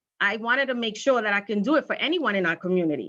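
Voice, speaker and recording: A woman's bright, sharp, fairly high voice with a Spanish accent, very fast and lively in intonation. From Brooklyn, New York. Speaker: candidate for party county chair. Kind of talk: campaign speech at online candidate forum. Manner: hesitant, repeats words.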